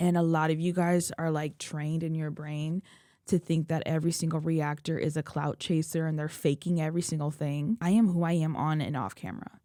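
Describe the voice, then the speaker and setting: A woman speaks with fairly even intonation on a very clean recording with a silent background. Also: fairly quick pace. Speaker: K-pop reaction youtuber. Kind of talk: emotional personal vlog. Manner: loud; casual, rambling.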